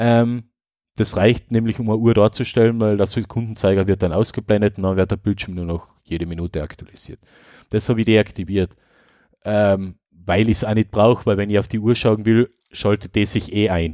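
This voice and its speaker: A man with an Austrian accent, fairly low in pitch, dark and mellow in tone, with fairly even intonation, in a very clean, dry, close recording with a silent background and no echo. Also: moderate pace. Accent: speaks Austrian dialect. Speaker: tech podcast host. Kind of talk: casual chat.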